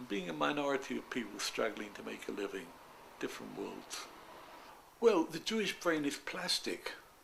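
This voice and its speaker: A man speaks at a moderate pace. Noticeable noise can be heard behind him. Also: big swings in loudness. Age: 90s. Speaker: retired doctor. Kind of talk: interview. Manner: halting, repeats words.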